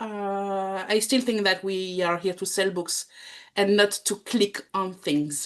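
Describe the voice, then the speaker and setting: A woman in a French accent at a fairly slow pace, over a quiet background. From France. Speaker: bookselling trainer and lecturer. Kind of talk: talk to small group. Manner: hesitant.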